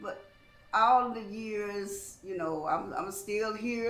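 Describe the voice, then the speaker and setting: A woman speaks at a very slow pace in a medium pitch, with ordinary pitch variation. Music plays in the background, and the room echo is audible. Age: 60s. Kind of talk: testimony. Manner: halting.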